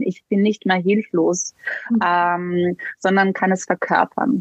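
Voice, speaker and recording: A somewhat breathy woman with a Slovenian accent. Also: dry, close sound with no echo. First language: Slovenian (speaking German). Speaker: somatic coach for women. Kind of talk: interview.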